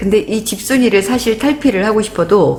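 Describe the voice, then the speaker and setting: While this woman talks, noticeable background noise can be heard. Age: 50s. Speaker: nature interpreter and vlogger. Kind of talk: personal vlog monologue.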